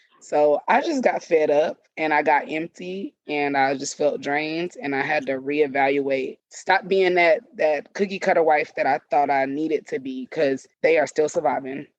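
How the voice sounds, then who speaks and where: With a Southern US accent, a woman talks at a moderate pace with hardly any pauses, her very deep, low pitch moving with ordinary variation, recorded dry and close with no echo. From US South. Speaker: podcast guest, wife and mother. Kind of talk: casual chat. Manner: animated.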